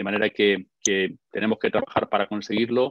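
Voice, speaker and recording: Pitched in the medium range, a man speaks at a moderate pace. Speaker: lecturer on gender and masculinity. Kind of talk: online conference talk. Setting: online webinar.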